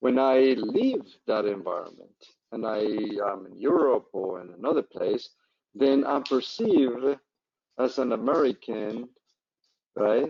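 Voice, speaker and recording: Speaking with a non-native accent, a man moves at a fairly slow pace, pausing long and often, with big swings in loudness. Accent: foreign accent in US English. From Colombia. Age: old. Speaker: professor. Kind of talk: Q&A after online lecture.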